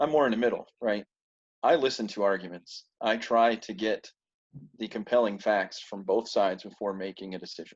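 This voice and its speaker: A man with an American accent has a plain, everyday voice, fairly low in pitch with ordinary pitch variation. He speaks at a moderate pace against a quiet background. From rural United States. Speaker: military veteran and forum participant. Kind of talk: casual chat.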